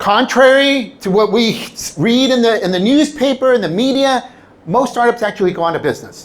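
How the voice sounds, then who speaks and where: A man talks at a moderate pace and a high pitch. His intonation is lively. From California, Mexican-American family. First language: Spanish. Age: 50s. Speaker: keynote speaker. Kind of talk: keynote speech.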